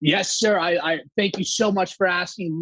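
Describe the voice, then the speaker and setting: A loud man with an energetic, animated tone and ordinary pitch variation, in a dry, close sound with no echo. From Saudi Arabia, Greek family. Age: 30s. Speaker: company co-founder. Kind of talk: podcast interview.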